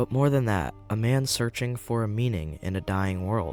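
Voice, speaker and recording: A man speaks at a fairly slow pace in a fairly low pitch. Music plays in the background. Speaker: video essay narrator. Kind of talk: documentary narration.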